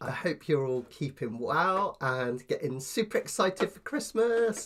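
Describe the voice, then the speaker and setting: With a British accent, a man speaks in very wide pitch swings. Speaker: ukulele teacher. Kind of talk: tutorial. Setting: live stream.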